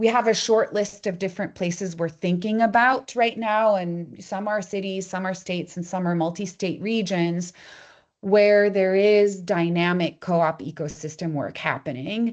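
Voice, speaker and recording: The speaker has a plain, everyday voice with ordinary pitch variation. The pace is moderate, and the background is quiet. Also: woman, medium pitch for a woman. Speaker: co-op foundation representative. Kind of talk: presentation at online meeting. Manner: casual, conversational.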